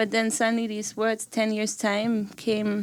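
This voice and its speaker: A woman with a German accent speaks at a fairly slow pace and a fairly high pitch. The recording is very clean, with a silent background. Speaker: singer-songwriter. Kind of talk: casual chat. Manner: halting.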